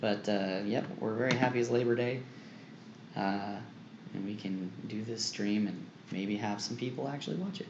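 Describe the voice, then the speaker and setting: Speaking at a moderate pace with a fairly low pitch and fairly even intonation, a man leaves long, frequent pauses amid audible room echo and noticeable background noise. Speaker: artist streamer. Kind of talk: casual chat. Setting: livestream.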